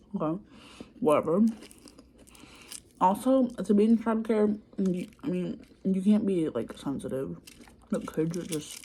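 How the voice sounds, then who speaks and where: The intonation is lively, and noticeable background noise can be heard. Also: woman. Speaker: childcare worker. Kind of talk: ASMR soft-spoken ramble to camera. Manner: soft-spoken, quiet.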